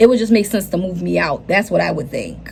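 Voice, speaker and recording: A woman with a medium pitch talks at a very fast pace with an animated tone. Background noise is noticeable. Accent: American. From US South, Charleston, South Carolina. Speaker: lifestyle vlogger. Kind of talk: casual vlog life update.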